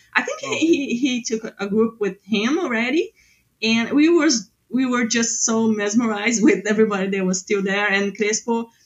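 This woman's somewhat breathy voice sits fairly high, moving at a moderate pace with ordinary pitch variation. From southern Brazil, Porto Alegre. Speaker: designer. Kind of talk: casual chat.

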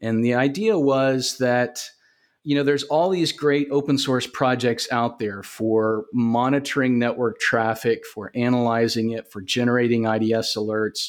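A man's medium-pitched voice with a Southern US accent, fairly even intonation, and a moderate pace over a quiet background. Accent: Southern US (Georgia). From US South, Augusta, Georgia. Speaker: cybersecurity company founder. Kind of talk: podcast interview.

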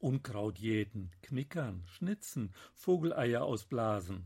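Somewhat breathy, a man speaks very slowly on a very clean recording with a silent background. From Münsterland, Germany. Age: 70s. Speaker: novelist. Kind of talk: author reading from own novel.

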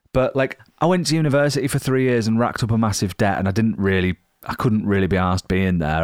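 On a very clean recording with a silent background, a man rattles along at a very fast pace with lively intonation. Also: very even loudness. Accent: Yorkshire. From Yorkshire, northern England. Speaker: touring rock musician. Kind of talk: casual interview chat.

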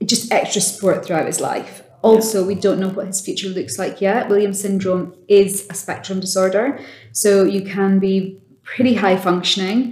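Speaking fairly slowly, a woman uses an ordinary speaking voice. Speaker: sales director. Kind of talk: casual interview chat.

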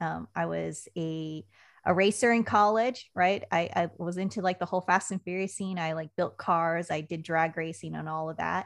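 An unremarkable speaking voice from a woman with an American accent, fairly low in pitch, with fairly even intonation at a moderate pace, over a quiet background. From Washington State (Puyallup). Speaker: communications consultant and army veteran. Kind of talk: podcast interview.

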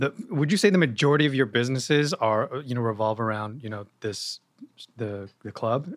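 On a very clean recording with a silent background, a man talks at a fairly quick pace in an ordinary speaking voice with ordinary pitch variation. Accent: American. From New York (Yonkers). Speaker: podcast host. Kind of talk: interview. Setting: guest's venue.

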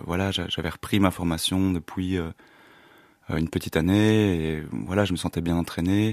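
A man with a very deep, low voice speaks at a fairly slow pace on a very clean recording with a silent background and a dry, close sound with no echo. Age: 30s. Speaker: actor. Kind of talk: interview. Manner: halting.

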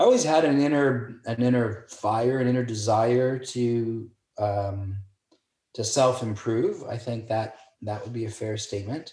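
The voice is somewhat breathy with fairly even intonation. It moves at a fairly slow pace. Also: man, medium pitch for a man. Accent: Canadian. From Toronto, Canada. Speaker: real estate broker. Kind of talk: interview.

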